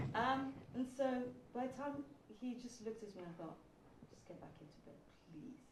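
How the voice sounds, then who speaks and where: Amid noticeable background noise and audible room echo, a woman with a high pitch talks at a fairly quick pace with lively intonation, big swings in loudness and long, frequent pauses. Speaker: sickle cell patient sharing her story. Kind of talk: testimony. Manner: soft-spoken. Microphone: too quiet.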